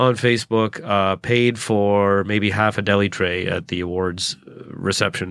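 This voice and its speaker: A man's bright, sharp voice with a Canadian accent and ordinary pitch variation. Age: 30s. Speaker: stand-up comedian. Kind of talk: solo podcast monologue. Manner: fast talker; halting.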